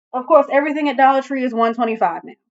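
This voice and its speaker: A woman's high voice with ordinary pitch variation. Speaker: vintage decor vlogger. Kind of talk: casual vlog show-and-tell.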